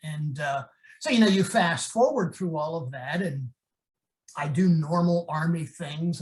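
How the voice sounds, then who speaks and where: A man with an American accent speaks in an ordinary speaking voice, fairly high pitched, at a moderate pace with fairly even intonation. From Pennsylvania. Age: 60s. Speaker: professor and former army officer. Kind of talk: interview storytelling.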